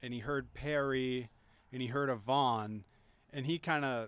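An American-accented man speaks at a moderate pace with a medium pitch and ordinary pitch variation, in an unremarkable speaking voice. The recording is very clean, with a silent background. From Greenfield, Massachusetts. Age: 30s. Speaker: professional wrestler. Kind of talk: casual chat. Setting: outdoors.

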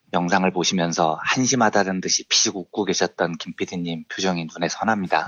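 The pace is fairly quick and the loudness very even. Intonation stays fairly even throughout. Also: man, very deep, low pitch for a man. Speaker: economics journalist. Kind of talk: explanatory economics segment.

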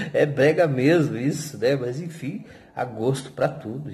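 Fairly high male voice with vocal fry, fairly slow and with ordinary pitch variation, amid audible room echo. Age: 40s. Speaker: podcaster and YouTuber, hospital worker. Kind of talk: casual solo monologue.

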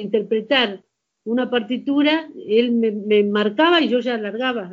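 The speaker has an Argentine accent and a fairly slow pace. The intonation is lively. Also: woman. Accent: Argentine Spanish (rioplatense voseo). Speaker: amateur singer. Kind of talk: casual chat.

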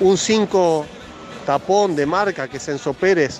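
Music plays in the background as a man talks. His pace is fairly slow, with ordinary pitch variation. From Argentina. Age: 50s. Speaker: football journalist. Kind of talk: interview.

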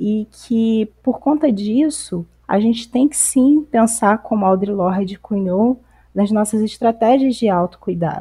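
A woman speaks fairly slowly in a fairly high voice with a dark, mellow tone. She sounds somewhat breathy, and her pitch varies an ordinary amount. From Campos dos Goytacazes, Rio de Janeiro state, Brazil. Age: 30s. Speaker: psychologist and activist. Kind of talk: casual discussion podcast. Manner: halting, many fillers.

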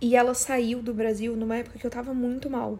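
A woman at a fairly high pitch and a moderate pace. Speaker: podcast host. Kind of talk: casual solo monologue. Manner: animated.

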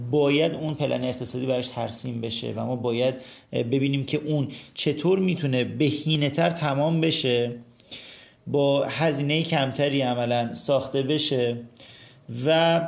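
Amid audible room echo, a man speaks slowly-ish at a fairly high pitch with fairly even intonation. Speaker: architect and podcast host. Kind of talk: casual chat.

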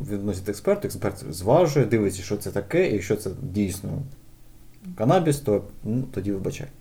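A man talks at a moderate pace with a fairly low pitch and lively intonation. His tone is dark and mellow, and somewhat breathy. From Ukraine, Kyiv (Borshchahivka). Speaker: game localization organization founder. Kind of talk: casual chat.

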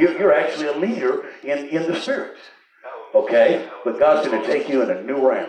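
A man with a Southern US accent speaks in an animated tone. Noticeable background noise runs behind him. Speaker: revival preacher. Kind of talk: revival sermon. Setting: church with live congregation. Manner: animated, exhortative, call-and-response with frequent hallelujahs; conversational, interjecting, pausing mid-thought.

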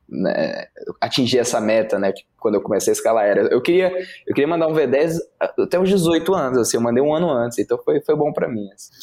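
Big swings in loudness run through a man's fairly quick speech. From Brasília, Brazil. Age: 20s. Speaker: rock climber. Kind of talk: casual interview.

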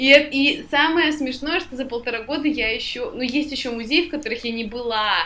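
A woman's raised, projected high voice with big swings in loudness, audible room echo and noticeable background noise. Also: ordinary pitch variation, moderate pace. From Tyumen, western Siberia, Russia. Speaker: podcast co-host. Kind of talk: casual chat.

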